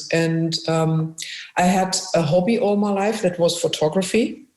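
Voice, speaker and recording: In a German accent, a woman talks at medium pitch with fairly even intonation. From Germany, Essen (industrial Ruhr area). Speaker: musician and photographer, former businesswoman. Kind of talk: interview. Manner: halting.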